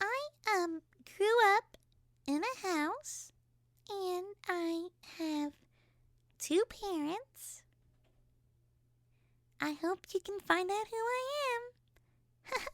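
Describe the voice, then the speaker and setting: A put-on character voice comes out squeaky at an extremely high pitch. It moves at a very slow pace with long, frequent pauses. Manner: mocking.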